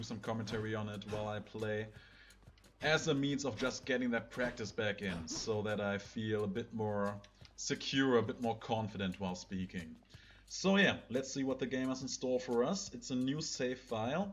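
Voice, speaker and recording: At a moderate pace, a man with a German accent speaks at a medium pitch with ordinary pitch variation. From Germany. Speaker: gaming video creator. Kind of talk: let's play commentary. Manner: casual, somewhat halting non-native English.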